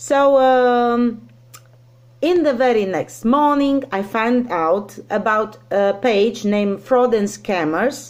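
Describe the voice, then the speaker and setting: Speaking with a non-native accent, a woman talks at a very slow pace. Her intonation is lively. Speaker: teacher, scam victim sharing story. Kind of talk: personal testimony. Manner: halting, many fillers.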